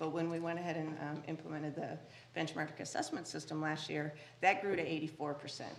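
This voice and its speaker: Speaking fairly quickly with an American accent, a woman uses a very deep, low pitch and a monotone, flat intonation amid audible room echo. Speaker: school district administrator. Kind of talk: presentation to school board. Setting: board meeting room.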